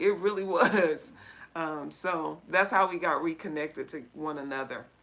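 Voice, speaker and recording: At a moderate pace, the woman uses an ordinary speaking voice and ordinary pitch variation. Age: 40s. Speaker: livestream co-host. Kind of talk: casual chat. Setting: livestream.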